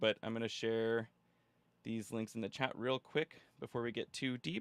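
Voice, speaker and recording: On a very clean recording with a silent background and a dry, close sound without echo, a man speaks at a fairly quick pace with ordinary pitch variation. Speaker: ML workshop presenter. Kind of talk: live workshop lecture. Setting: live stream. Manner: fast when excited; casual, filler-heavy.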